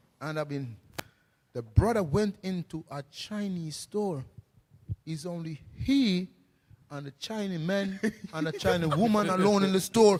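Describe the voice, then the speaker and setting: A man speaks at a high pitch with an animated tone and ordinary pitch variation. His loudness swings a lot, and he takes long, frequent pauses. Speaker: street preacher. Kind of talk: casual group discussion. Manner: fast.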